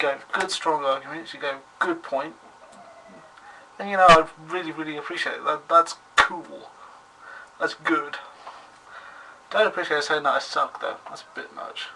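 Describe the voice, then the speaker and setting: A man with a British accent at a moderate pace, with long, frequent pauses, big swings in loudness and noticeable background noise. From Britain. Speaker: vlogger. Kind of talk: video response vlog. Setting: webcam recording. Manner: formal; halting.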